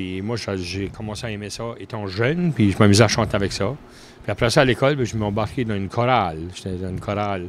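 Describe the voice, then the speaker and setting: A man speaks at a fairly low pitch with a New Brunswick Acadian accent. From Acadia, southeast New Brunswick (Bouctouche). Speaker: country musician. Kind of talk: casual interview.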